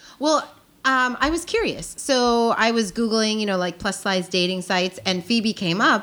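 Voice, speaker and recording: An ordinary speaking voice from a woman, medium in pitch, at a moderate pace with lively intonation. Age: 30s. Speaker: podcast guest. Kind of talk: casual chat.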